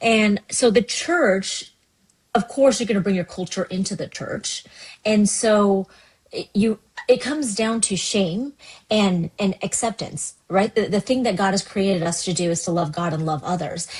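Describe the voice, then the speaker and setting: Speaking at a moderate pace, a woman with a somewhat breathy voice holds a medium pitch and uses ordinary pitch variation. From US West Coast, Seattle, Washington. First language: Cantonese. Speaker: pastor. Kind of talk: podcast interview.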